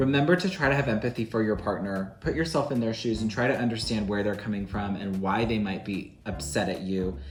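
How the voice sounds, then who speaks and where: This man talks at a fairly quick pace with hardly any pauses and lively intonation. His fairly low voice carries audible room echo. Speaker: baking channel host and social worker. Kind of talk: casual cooking chat with relationship advice.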